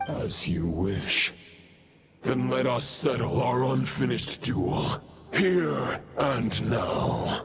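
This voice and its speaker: With faint music in the background, a man puts on a cartoonish character voice at medium pitch and a very slow pace. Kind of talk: archaic formal speech. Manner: stately, grave.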